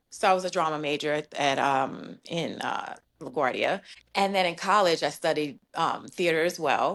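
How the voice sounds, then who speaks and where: A woman speaks with a New York accent. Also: quiet background. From New York, Brooklyn. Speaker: podcast guest. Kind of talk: casual chat.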